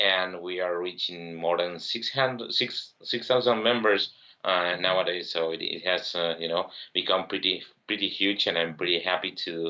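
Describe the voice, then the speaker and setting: A man speaks in a Spanish accent at a very deep, low pitch. His pace is moderate and his intonation fairly even. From Uruguay. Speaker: software entrepreneur, tech community leader. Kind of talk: interview podcast. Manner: halting, many repetitions.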